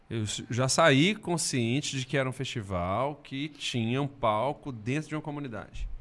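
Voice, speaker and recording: This man has a normal speaking voice at medium pitch, with ordinary pitch variation and a moderate pace. The recording is very clean and the background silent. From Brazil, Belo Horizonte. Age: 40s. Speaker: singer-songwriter. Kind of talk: casual chat.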